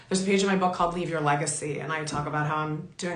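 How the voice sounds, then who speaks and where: Over noticeable background noise and audible room echo, a woman talks with ordinary pitch variation. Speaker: talk show host and author. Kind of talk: motivational monologue.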